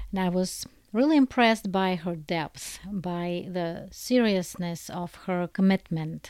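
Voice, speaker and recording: In a very clean recording with a silent background, a woman with a Russian accent speaks at a medium pitch. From Soviet Union. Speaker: book translator. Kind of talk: personal testimony.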